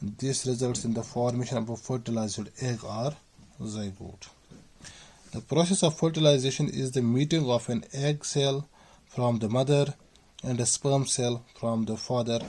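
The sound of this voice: A man speaks at a moderate pace and medium pitch. His tone is slightly mellow, with fairly even intonation.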